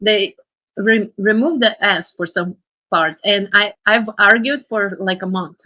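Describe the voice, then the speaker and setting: Speech with a non-native accent comes at a fairly slow pace in a bright, sharp tone, on a very clean recording with a silent background. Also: woman, dry, close sound with no echo. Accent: foreign. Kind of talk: casual chat. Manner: halting.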